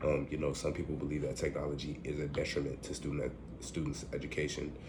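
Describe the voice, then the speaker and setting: A man's very deep, low voice at a moderate pace, with audible room echo. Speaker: student giving a class presentation. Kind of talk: recorded class presentation. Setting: at home. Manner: halting, many fillers.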